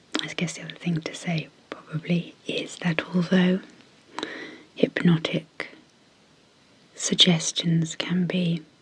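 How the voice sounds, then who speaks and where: Whispering comes at a very slow pace against noticeable background noise. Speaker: clinical psychologist and ASMR hypnosis creator. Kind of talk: guided hypnosis intro. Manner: soft-spoken.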